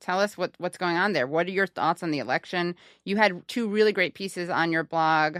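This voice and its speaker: This woman has an ordinary speaking voice, fairly low in pitch with ordinary variation. She talks at a fairly quick pace, and the sound is dry and close with no echo. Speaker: podcast host. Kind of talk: casual podcast conversation.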